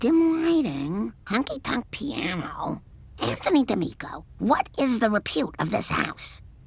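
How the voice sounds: A cartoonish character voice with a fairly high pitch moves at a fairly slow pace over light background noise.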